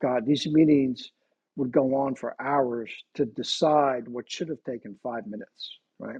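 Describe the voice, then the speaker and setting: Speaking in an American accent at a fairly slow pace, this is a normal speaking voice with a dry, close sound and no echo. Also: man. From central New Jersey. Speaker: company founder, former detective. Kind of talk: interview.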